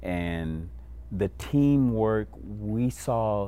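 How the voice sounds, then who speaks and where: With an American accent, a man speaks in a very deep, low voice and a dark, mellow tone, with audible room echo around him. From Illinois, Kankakee County. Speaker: pastor and youth violence prevention coordinator. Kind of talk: interview.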